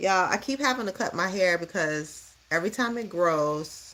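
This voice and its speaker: In an American accent, a woman speaks with an animated tone, lively intonation and a medium pitch. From Chicago, US. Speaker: livestreamer, youth mentor. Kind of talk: casual livestream chat. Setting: home livestream doing her hair.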